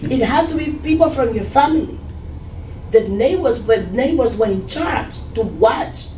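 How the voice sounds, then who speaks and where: A woman's high-pitched voice with lively intonation, a moderate pace and long, frequent pauses, plus audible room echo and noticeable background noise. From Cuba. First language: Spanish. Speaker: Cuban immigrant churchgoer. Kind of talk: testimony.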